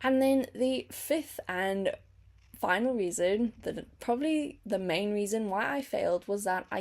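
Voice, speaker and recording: A woman talks at a moderate pace, her fairly high voice carrying lively intonation. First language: not English. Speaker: teacher and language-learning vlogger. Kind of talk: casual vlog monologue.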